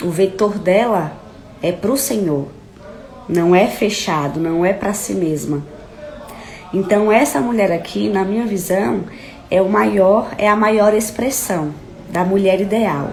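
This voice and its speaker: A woman talks at a very slow pace in a medium pitch, with ordinary pitch variation and long, frequent pauses. Noticeable background noise and an audible room echo fill the recording. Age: 20s. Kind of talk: live stream teaching. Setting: live stream.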